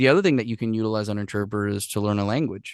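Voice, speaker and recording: A man with a Spanish accent, fairly low in pitch and fairly even in intonation, over a quiet background. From Puerto Rico. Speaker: professional interpreter and translator, army veteran. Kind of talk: podcast interview answer. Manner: casual, profane.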